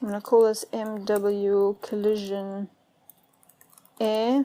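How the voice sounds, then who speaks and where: Mumbling, a woman speaks at a fairly high pitch. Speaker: music producer and tutorial youtuber. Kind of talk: tutorial. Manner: casual, with many fillers; slightly mumbling. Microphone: problematic microphone.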